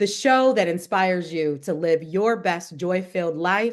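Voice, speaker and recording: Over a quiet background, a woman talks fairly slowly in an ordinary speaking voice, fairly low in pitch, with lively intonation. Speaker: podcast host. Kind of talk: podcast intro.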